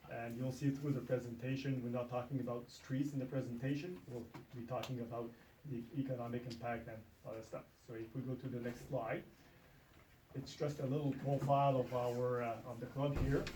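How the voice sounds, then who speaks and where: Medium in pitch, a man talks at a fairly quick pace in a monotone with flat intonation. Audible room echo and noticeable background noise are present. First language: French. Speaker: ATV club representative. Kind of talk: presentation to town council. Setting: town council meeting room. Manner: halting with many fillers.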